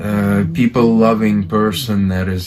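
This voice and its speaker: A man speaks in a fairly low voice over noticeable background noise. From Ukraine. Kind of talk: casual chat.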